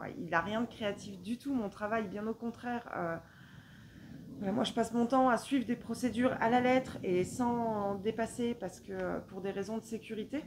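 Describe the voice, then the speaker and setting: Fairly slow speech from a woman, fairly high in pitch, with ordinary pitch variation. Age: 40s. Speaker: knitting vlogger. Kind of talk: casual vlog monologue. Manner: hesitant, many filler sounds.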